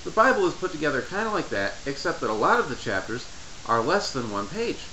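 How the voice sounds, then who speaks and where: With noticeable background noise, a man speaks very fast at a fairly high pitch, his voice swinging very widely in pitch. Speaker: Bible study tutorial maker. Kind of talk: tutorial talk to camera. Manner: stutters.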